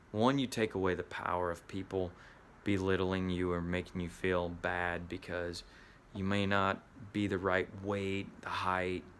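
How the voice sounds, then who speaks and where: With a Southern US accent, a man speaks at a fairly slow pace. His pitch is very deep and low, his intonation fairly even. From US Midwest. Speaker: actor and acting coach. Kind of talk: motivational talk.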